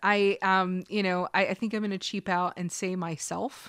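A bright, sharp tone comes through. The background is silent on a very clean recording. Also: woman. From Kentucky. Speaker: host's wife. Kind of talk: casual chat.

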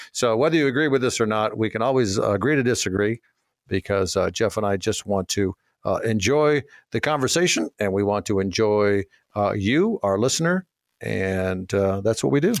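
A man with an American accent talks at a moderate pace in a fairly low pitch, with lively intonation and very even loudness. It is a normal speaking voice, heard in a dry, close sound with no echo. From Minnesota. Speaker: radio host and auctioneer. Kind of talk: radio call-in show chat.

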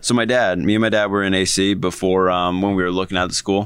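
Delivered in an American accent at a very fast pace, the speech holds a monotone, flat intonation. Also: man, very clean recording, silent background. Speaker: podcast co-host. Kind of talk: casual chat.

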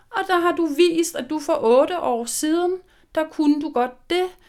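Over a very clean recording with a silent background, a woman speaks with lively intonation. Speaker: social worker. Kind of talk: interview.

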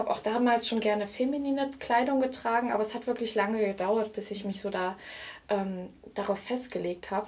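A woman talks in a normal speaking voice at a fairly quick pace. Her intonation stays fairly even. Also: fairly high pitch for a woman. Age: 20s. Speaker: vintage blogger and art historian. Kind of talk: interview.

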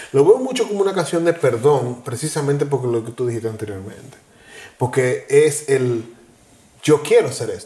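The voice is an ordinary speaking voice at a moderate pace. Its intonation is lively, and its loudness swings widely. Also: man, fairly high pitch for a man. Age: 40s. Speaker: podcast co-host. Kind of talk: casual chat.

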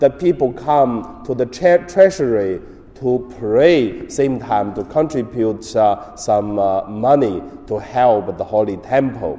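A man speaks very slowly with a Chinese accent. His pitch swings very widely. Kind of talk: homily.

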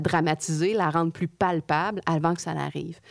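A woman's normal speaking voice, fairly low in pitch, at a moderate pace. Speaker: podcast co-host. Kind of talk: casual interview chat.

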